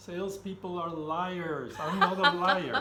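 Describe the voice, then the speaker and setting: The man's voice is high. Audible room echo and noticeable background noise fill the recording. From Belgium. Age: 60s. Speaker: retired IT director. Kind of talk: casual interview.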